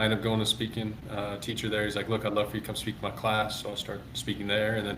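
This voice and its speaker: A man speaks at a very fast pace with a fairly low pitch. Audible room echo surrounds his voice. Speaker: former minor league baseball player and public speaker. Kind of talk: interview conversation. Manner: pitch varies, goes up and down a lot; occasionally mumbles.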